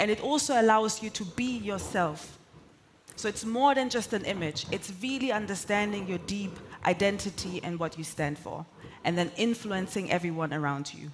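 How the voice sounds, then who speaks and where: Moderate pace in a German accent. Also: woman, medium pitch for a woman, lively intonation. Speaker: corporate sales executive and conference speaker. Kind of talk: conference keynote talk.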